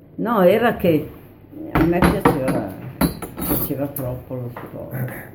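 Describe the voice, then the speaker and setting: A woman's very deep, low voice with a dark, mellow tone, ordinary pitch variation, a very slow pace and audible room echo. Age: 90s. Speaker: former partisan. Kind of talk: oral history interview. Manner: halting.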